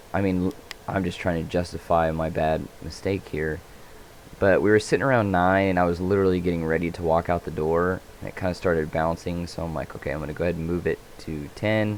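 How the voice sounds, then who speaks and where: Quiet and mumbling, the voice runs at a very fast pace with fairly even intonation. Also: man, very deep, low pitch for a man. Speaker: day trader. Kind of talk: trade commentary.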